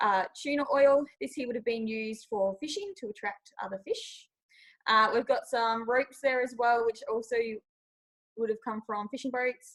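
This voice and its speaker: At a moderate pace, a woman with an Australian accent speaks in a high pitch with ordinary pitch variation. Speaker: nature park education manager. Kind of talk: presentation on video call.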